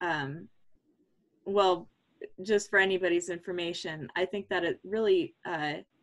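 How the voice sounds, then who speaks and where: A woman speaks at a fairly slow pace with medium pitch and fairly even intonation. Hers is a normal speaking voice. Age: 20s. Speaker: political party member. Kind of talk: meeting discussion. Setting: video call.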